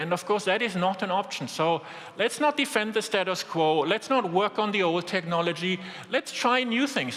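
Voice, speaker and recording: With a strong German accent, a man speaks at a moderate pace in a high voice over noticeable background noise. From Germany. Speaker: business executive. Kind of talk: keynote speech.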